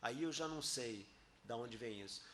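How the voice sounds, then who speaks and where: This man talks at a fairly quick pace in a bright, sharp tone. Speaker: physicist giving a talk and debate. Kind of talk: academic debate. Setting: auditorium with audience.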